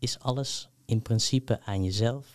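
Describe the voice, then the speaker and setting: A man's ordinary speaking voice at medium pitch, with ordinary pitch variation. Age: 20s. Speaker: PhD researcher in history. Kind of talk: interview.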